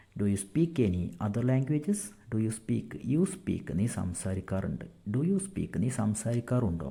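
Very wide pitch swings in a somewhat breathy, dark, mellow tone at very even loudness. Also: man, medium pitch for a man. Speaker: English tutor. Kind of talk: tutorial.

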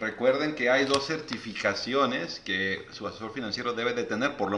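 Speaking at a fairly quick pace, a man is heard with audible room echo and light background noise. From Mexico. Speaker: financial advisor and live show host; live show host. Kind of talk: live stream interview. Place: home room. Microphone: phone near.

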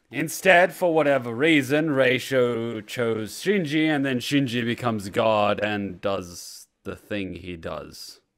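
Over a quiet background, a man talks at a very slow pace with lively intonation. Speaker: video creator. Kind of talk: casual vlog chat. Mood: amused, mock spooked. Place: home room. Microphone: studio mic.

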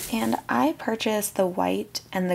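Soft-spoken, a woman talks at a moderate pace against light background noise. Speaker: candle business owner. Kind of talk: ASMR packaging video, casual talk to camera. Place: workshop.

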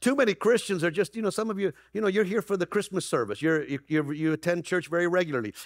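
A man talks at a fast pace in a high voice with ordinary pitch variation, the sound dry and close with no echo.

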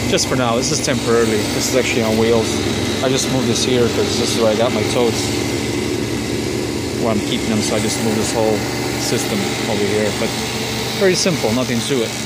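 A man talking at a very fast pace with ordinary pitch variation, his dry sound carrying no echo amid loud background noise. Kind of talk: tutorial. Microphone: phone near.

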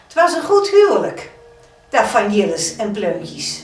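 A woman with a South Holland accent speaks very slowly with very wide pitch swings, with audible room echo and faint music in the background. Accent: Hoeksche Waard dialect. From Hoeksche Waard, Netherlands. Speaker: storyteller. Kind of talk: folk story telling. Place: home room.

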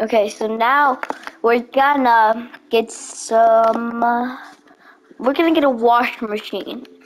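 With noticeable background noise behind her, a woman speaks at a very slow pace. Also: fairly high pitch for a woman. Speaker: gaming video creator. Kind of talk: gameplay commentary. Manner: mumbling; animated.

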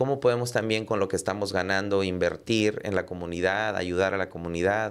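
Speaking at a fairly quick pace with hardly any pauses, a man uses fairly even intonation and a fairly low pitch. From Texas border, Rio Grande Valley; Texas. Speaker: entrepreneur and podcaster; podcaster. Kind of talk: casual interview chat. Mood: calm, reflective. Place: studio. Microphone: studio mic.

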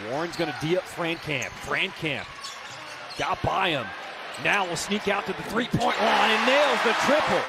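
A man with a high pitch speaks in an animated tone with lively intonation over noticeable background noise. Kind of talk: live sports commentary. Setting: broadcast. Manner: fast, animated play-by-play with rising excitement.

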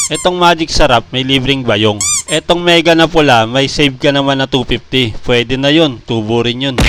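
An upbeat tone at a moderate pace, hardly any pauses and ordinary pitch variation, over noticeable background noise. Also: man, medium pitch for a man. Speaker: small shop owner vlogger. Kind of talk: street seller pitch, then casual comic monologue. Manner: brisk, upbeat sales patter, rattling off promo deals; joking, self-mocking, chatty.

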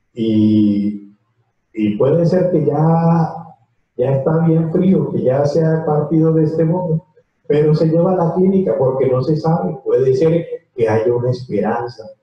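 A man talks at a fairly slow pace. Audible room echo is present.

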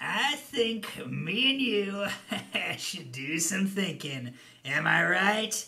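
Putting on a character voice, a man uses a high pitch and a raised, projected voice at a very slow pace.

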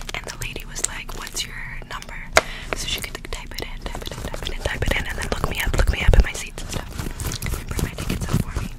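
A woman is whispering. She goes at a very fast pace. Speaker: ASMR content creator. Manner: close whispered storytelling. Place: home room. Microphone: studio mic.

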